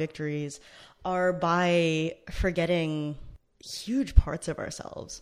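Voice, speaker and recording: On a very clean recording with a silent background, a woman speaks. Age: 20s. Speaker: podcast host. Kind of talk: solo podcast monologue on queer theory. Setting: studio. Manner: casual with many fillers.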